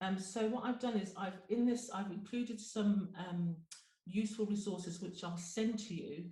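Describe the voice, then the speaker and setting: A woman's somewhat breathy, dark, mellow voice at medium pitch and moderate pace, with fairly even intonation and audible room echo. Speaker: GP and webinar presenter. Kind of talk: webinar presentation.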